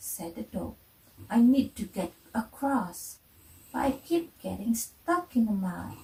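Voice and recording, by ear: A natural voice reads the text aloud.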